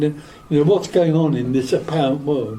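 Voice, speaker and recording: Speaking fairly quickly with an English accent, a man uses a fairly high pitch and ordinary pitch variation. Noticeable background noise and audible room echo surround him. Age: 80s+. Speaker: spiritual teacher. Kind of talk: question and answer session. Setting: stage with audience. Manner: calm.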